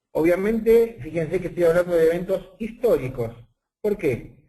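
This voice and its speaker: A man with an Argentine accent speaks at a moderate pace in a high pitch. His tone is dark and mellow, and his intonation is lively. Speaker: statistician and university professor. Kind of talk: webinar lecture. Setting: online webinar.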